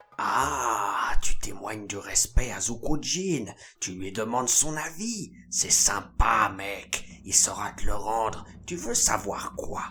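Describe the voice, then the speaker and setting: A put-on character voice from a man, medium in pitch, delivered fairly slowly. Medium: machinima. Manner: casual slangy, calls everyone mec; speaks of himself in third person at times.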